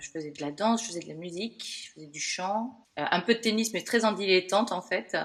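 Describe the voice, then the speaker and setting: A woman talks at a fairly quick pace with lively intonation at a medium pitch. Her loudness swings widely. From France, Bordeaux. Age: 40s. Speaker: podcast guest sharing burnout story. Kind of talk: interview, personal testimony. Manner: hesitant, many fillers.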